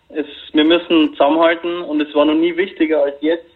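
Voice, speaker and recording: The intonation stays monotone and flat. The speaker is a man. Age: 20s. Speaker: long covid patient. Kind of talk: interview. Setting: phone call.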